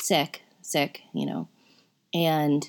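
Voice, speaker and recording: On a very clean recording with a silent background, the speaker talks with an upstate New York accent. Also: woman. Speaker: podcast host. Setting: home, in bed. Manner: conversational, rambling.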